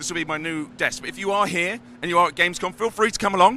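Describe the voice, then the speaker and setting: With a British accent, a man speaks very fast at a fairly high pitch with lively intonation over noticeable background noise. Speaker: community manager hosting a live stream. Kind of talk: live stream walkthrough. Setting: trade show floor. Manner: animated.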